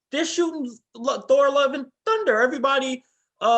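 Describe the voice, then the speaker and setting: Animated in tone, a man speaks with an extremely high pitch and very wide pitch swings. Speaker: podcast host. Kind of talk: casual chat.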